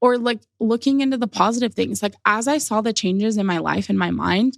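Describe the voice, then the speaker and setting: A woman talks at a fairly quick pace in a fairly high pitch with ordinary pitch variation, her voice dry and close with no echo on a very clean recording against a silent background. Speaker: podcast guest sharing health journey. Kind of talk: casual interview chat. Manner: loud, boisterous.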